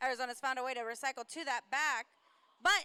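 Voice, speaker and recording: A woman projects her raised voice at a fairly quick pace, her tone bright and sharp, in a dry, close sound with no echo. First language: not English. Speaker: roller derby commentator. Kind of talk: live commentary.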